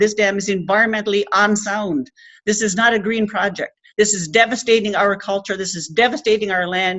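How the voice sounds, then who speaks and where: With a Labrador accent, a woman talks at a moderate pace in a medium pitch with fairly even intonation. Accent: Labrador Canadian English. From coastal Labrador, Canada. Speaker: Inuit land protector and activist. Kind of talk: speech to an audience.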